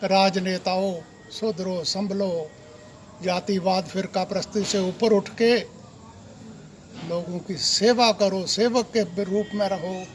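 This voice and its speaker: High pitch for a man, fairly even intonation, and noticeable background noise. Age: old. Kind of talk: political appeal to camera.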